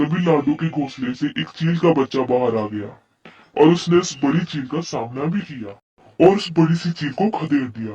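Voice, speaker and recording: Putting on a cartoonish character voice, a man speaks at a moderate pace with a fairly high pitch. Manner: blunt, excitable.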